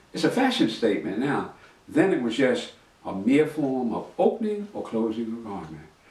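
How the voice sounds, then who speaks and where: A man speaks at a moderate pace with lively intonation. Audible room echo and noticeable background noise surround him. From New York City, Harlem. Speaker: master tailor and storyteller. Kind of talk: autobiographical storytelling. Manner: conversational, reflective.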